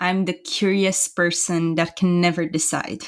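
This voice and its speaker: A woman with a Romanian accent speaks at a moderate pace on a very clean recording with a silent background. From Romania, Bucharest. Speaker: entrepreneur. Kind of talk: casual interview.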